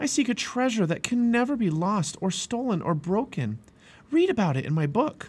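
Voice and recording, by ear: A man's put-on character voice, high-pitched with a slightly husky edge and big pitch swings. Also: moderate pace.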